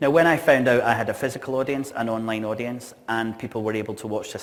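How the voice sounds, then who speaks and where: Audible room echo surrounds a man speaking fairly quickly at a medium pitch with a Scottish accent. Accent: noticeable Scottish. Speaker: events industry speaker. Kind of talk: conference keynote talk. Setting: stage with audience.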